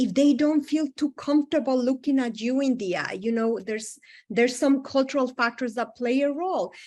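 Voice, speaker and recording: A woman with a high pitch speaks with a non-native accent. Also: quiet background. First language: not English. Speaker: psychologist presenting to health providers. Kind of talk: lecture.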